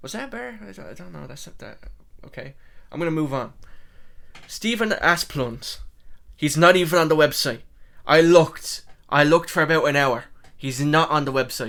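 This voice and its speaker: In a very clean recording with a silent background, a man speaks at a moderate pace with a fairly high pitch and lively intonation. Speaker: MMA commentary YouTuber. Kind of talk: casual solo commentary. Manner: casual, halting with self-corrections.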